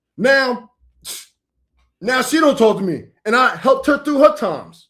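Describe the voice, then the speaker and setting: The voice is loud and animated, with a bright, sharp tone. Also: man, extremely high pitch for a man, ordinary pitch variation, moderate pace. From New York. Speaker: preacher. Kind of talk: heated debate.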